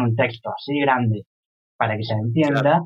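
A man talks with a medium pitch and ordinary pitch variation. His voice is somewhat breathy. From Córdoba, Argentina. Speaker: visual artist. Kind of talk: casual interview.

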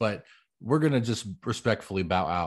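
Against a quiet background, a man with an ordinary speaking voice and fairly low pitch talks at a fairly quick pace. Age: 30s. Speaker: podcast co-host, preacher. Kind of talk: casual chat.

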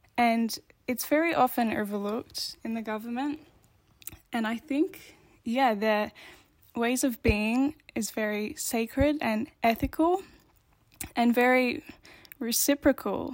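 Speaking in an Australian accent, a woman talks at a fairly slow pace in a high pitch with ordinary pitch variation. Long, frequent pauses break up her speech. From Australia, Victoria. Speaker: podcast co-host. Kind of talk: casual discussion.

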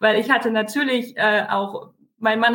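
Speaking fairly slowly, a woman uses a plain, everyday voice pitched fairly high. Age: 30s. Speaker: online retailer, mother. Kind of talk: podcast interview.

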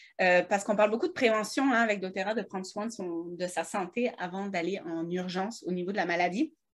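A somewhat breathy voice at a fairly quick pace. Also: woman. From French Alps, France. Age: 30s. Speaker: wellness products seller, podcast co-host. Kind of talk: casual chat. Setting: studio in a shop, seated at a computer. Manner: fast; stammering a bit.

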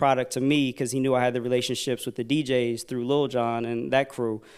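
A man with an American accent speaks at a moderate pace in a medium pitch, an unremarkable speaking voice. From US Mid-Atlantic (DC/Virginia area). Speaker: record label promotion executive. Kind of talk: interview at a public forum. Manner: casual.

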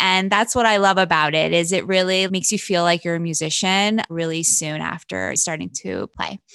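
An unremarkable speaking voice from a woman, fairly low in pitch, at a moderate pace with fairly even intonation and hardly any pauses. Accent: American. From Pennsylvania, Wilkes-Barre. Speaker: music industry manager. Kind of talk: interview.

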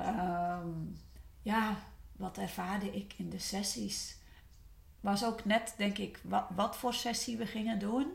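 The pace is very slow and the pitch variation ordinary. Room echo is audible. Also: woman, medium pitch for a woman. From West-Friesland, Netherlands. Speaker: former coaching client. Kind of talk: personal testimony. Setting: studio.

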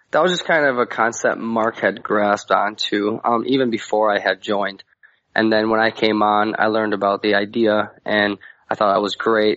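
A man with an American accent and a plain, everyday voice talks at a moderate pace in a fairly low pitch, with fairly even intonation and very even loudness. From Wisconsin, US Midwest. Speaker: metal band singer. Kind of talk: casual interview.

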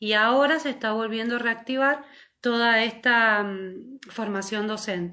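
A woman's bright, sharp voice, fairly high-pitched, with fairly even intonation and a fairly slow pace. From Mendoza, Argentina. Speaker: secondary school teacher. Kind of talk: live stream chat. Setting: video call livestream.

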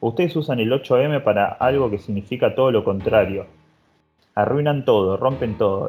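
With a Rioplatense accent, a man speaks at a moderate pace and medium pitch, with ordinary pitch variation and music in the background. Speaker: podcast co-host. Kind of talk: casual chat.

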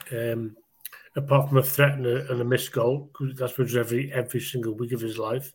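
A man at a medium pitch, with monotone, flat intonation and a fairly quick pace. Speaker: Everton fan guest. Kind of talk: casual chat about football.

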